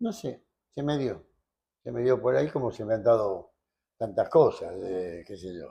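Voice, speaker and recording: Against a quiet background, a man with a Rioplatense accent talks at a fairly slow pace with long, frequent pauses. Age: 80s+. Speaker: lawyer. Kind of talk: interview answer.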